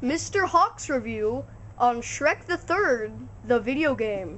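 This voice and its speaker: A cartoonish character voice speaks at a very slow pace with a fairly high pitch. Background noise is clear. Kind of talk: kids' puppet-show comedy. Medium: puppet show. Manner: rambling, hesitant.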